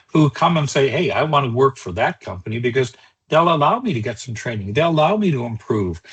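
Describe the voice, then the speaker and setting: A man speaks at medium pitch with lively intonation and a somewhat breathy quality. The sound is dry and close, with no echo. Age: 60s. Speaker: cybersecurity trainer. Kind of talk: webinar lecture. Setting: online webinar. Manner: conversational, with filler words.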